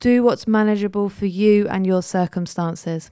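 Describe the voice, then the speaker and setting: A woman with a British accent has a dark, mellow tone and a medium pitch, speaking at a moderate pace on a very clean recording with a silent background. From Jersey, Channel Islands. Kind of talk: live-stream talk with Q&A; scripted podcast intro. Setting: Facebook Live video recording.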